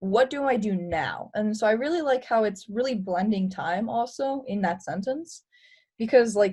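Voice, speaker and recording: Against a quiet background, a woman speaks at a moderate pace in a fairly high, somewhat breathy voice with a dark, mellow tone and lively intonation. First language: Romanian. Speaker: presenter. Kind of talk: webinar discussion.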